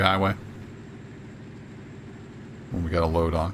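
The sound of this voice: The tone is fairly bright. The pitch moves very little. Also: man.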